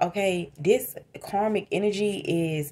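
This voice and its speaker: Her voice has a dark, mellow tone. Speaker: tarot reader. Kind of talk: tarot reading commentary. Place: home room. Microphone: phone near.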